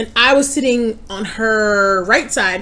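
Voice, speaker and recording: A woman talks loudly in a New York accent over noticeable background noise. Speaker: mukbang youtuber. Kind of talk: casual chat. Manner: loud, projecting.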